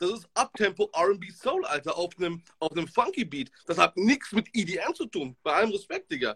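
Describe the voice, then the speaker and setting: Speaking at a moderate pace with hardly any pauses, a high-pitched man sounds bright, sharp and animated, his intonation lively and the sound dry and close with no echo. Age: 30s. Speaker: DJ. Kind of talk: casual chat.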